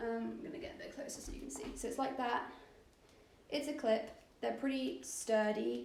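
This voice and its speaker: A woman with a British accent speaks at a high pitch, with audible room echo and noticeable background noise. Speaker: fashion photographer. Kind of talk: tutorial. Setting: livestream. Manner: loud.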